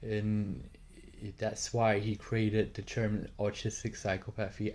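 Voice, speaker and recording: Speaking at a fairly slow pace, a man uses a fairly low pitch and a dark, mellow tone in a very clean recording with a silent background. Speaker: youtuber explaining a topic. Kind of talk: informal educational talk. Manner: halting, many fillers.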